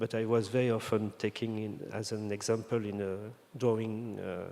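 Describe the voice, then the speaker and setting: A man with a French accent has a fairly low, dark and mellow voice. He talks at a moderate pace with monotone, flat intonation. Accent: French accent, non-native English. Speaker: designer. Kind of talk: interview conversation. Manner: halting, many fillers and restarts.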